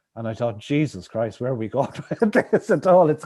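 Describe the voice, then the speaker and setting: A man talks at a very fast pace. He has a Limerick accent. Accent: Irish (Limerick). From Ireland, Limerick City. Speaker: author. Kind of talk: interview. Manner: halting, many repetitions.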